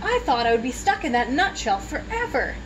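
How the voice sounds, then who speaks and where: A woman's put-on character voice at a fairly quick pace over loud background noise. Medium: read story. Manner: chirpy.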